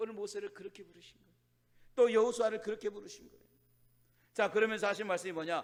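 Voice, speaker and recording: A man's high-pitched voice. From Chungcheong, South Korea. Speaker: pastor. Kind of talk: sermon. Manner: fast; rough, plain speech.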